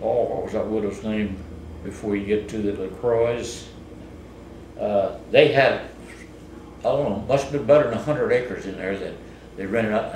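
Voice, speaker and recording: A man with an American accent at a moderate pace, long, frequent pauses, and noticeable background noise. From Southeast Missouri. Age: 80s+. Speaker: farmer. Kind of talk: interview answer. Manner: casual, hesitant.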